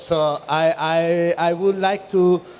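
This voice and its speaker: A man at fairly high pitch with fairly even intonation, over noticeable background noise. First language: Spanish. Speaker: architect and urban researcher. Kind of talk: conference presentation. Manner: halting.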